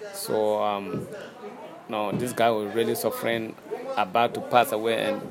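A man with a Ghanaian accent speaks over noticeable background noise. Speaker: master musician, xylophone player. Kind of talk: interview. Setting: outdoors, background noise. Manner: halting.

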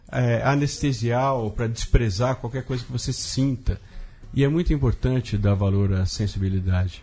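Against a quiet background, a man with a dark, mellow, somewhat breathy tone speaks at a moderate pace with ordinary pitch variation. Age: 50s. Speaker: writer and comics artist. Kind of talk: casual interview chat.

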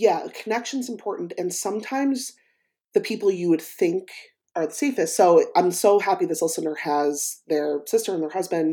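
Her tone dark and mellow, a woman speaks with lively intonation on a very clean recording with a silent background. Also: medium pitch for a woman, moderate pace. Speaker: podcast co-host and coach. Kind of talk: casual chat.

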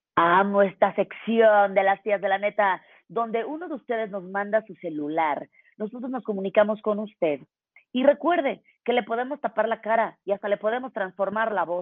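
An ordinary speaking voice: a woman of medium pitch, ordinary pitch variation and moderate pace. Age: 40s. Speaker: podcast co-host. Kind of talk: casual chat.

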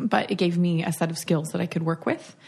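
A dark, mellow tone marks this voice. There is some breathiness to it. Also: woman. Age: 30s. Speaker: letterpress shop owner. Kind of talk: casual chat.

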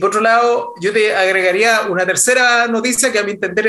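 A man speaks in a raised, projected voice at a very fast pace. His pitch varies in an ordinary way. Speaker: podcast co-host, business founder. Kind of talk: interview conversation. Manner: halting, repeats words.

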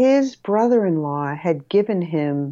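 Against a quiet background, the voice has a dark, mellow tone and moves at a very slow pace. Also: woman. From Rhode Island. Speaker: photographer. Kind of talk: casual interview chat. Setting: remote call.

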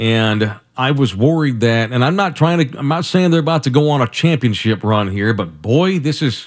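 At a moderate pace, a man talks in an ordinary speaking voice, recorded very cleanly against a silent background. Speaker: radio host. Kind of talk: radio host patter. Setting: studio. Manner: upbeat, chatty, bantering.

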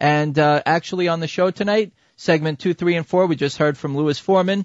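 A man talks in a plain, everyday voice at a fairly quick pace. His pitch is fairly high, with ordinary pitch variation. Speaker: radio host. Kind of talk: radio dj patter: smooth show-host chatter, plugging the conference and introducing guests. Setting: phone interview with guests on the line. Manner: upbeat, fluent, polished broadcaster cadence with some filler.

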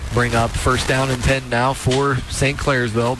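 A man speaks at a moderate pace with a medium pitch. His intonation is flat and monotone, with music in the background. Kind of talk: live commentary.

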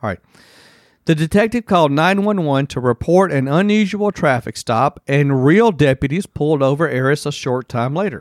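A man talks at a moderate pace in an ordinary speaking voice, fairly high in pitch with lively intonation. The recording is very clean with a silent background and a dry, close sound with no echo. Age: 50s. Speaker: podcast co-host. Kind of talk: reading news stories aloud; casual chat.

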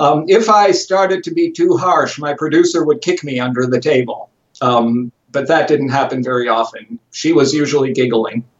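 Talking at a moderate pace with hardly any pauses, a man with an American accent has a fairly high pitch and lively intonation. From US, Chicago. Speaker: journalist and TV presenter. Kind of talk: interview. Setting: remote call from home office.

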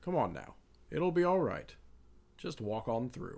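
A man's put-on character voice, fairly high-pitched, at a moderate pace. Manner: coaxing, warm, familial.

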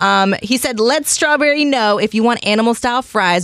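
An ordinary speaking voice from a woman, fairly high in pitch and fairly quick in pace, with a dry, close sound and no echo. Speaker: radio host. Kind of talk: radio DJ patter, reading texts and news. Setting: radio studio. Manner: chatty, upbeat.

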